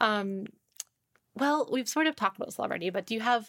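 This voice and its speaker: A normal speaking voice carries the words. It moves along at a fairly quick pace. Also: woman, dry, close sound with no echo. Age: 30s. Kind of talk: interview conversation. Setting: studio.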